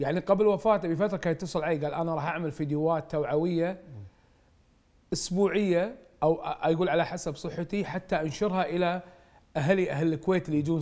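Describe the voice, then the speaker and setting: This man's voice sits at a high pitch. It varies in pitch an ordinary amount. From Kuwait. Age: 40s. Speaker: parliamentary candidate. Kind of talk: TV interview.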